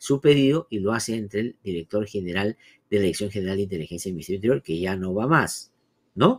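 Lively intonation runs through this man's fairly low voice as he speaks at a moderate pace. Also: quiet background. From Peru. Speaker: radio news host; program host. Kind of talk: news analysis and interviews. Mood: critical, analytic. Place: home room.

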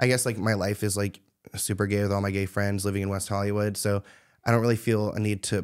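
A man with a plain, everyday voice, fairly low pitch and a fairly quick pace, against a quiet background. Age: 20s. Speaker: celebrity gossip YouTuber. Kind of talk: casual interview chat. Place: studio. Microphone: studio mic.

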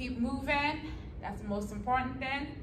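Audible room echo along with light background noise. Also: woman. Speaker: fitness instructor. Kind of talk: workout class instruction. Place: gym. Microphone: camera far.

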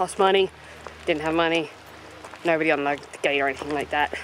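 Monotone, flat delivery in a dry recording with no echo and light background noise. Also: woman. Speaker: travel vlogger. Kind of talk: casual vlog chat. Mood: mildly exasperated recap. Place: open country. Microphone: phone near.

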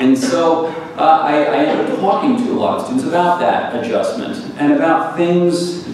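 A man speaking at a fairly slow pace, with strong room echo and light background noise. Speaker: visiting professor lecturer. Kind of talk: lecture. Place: hall.

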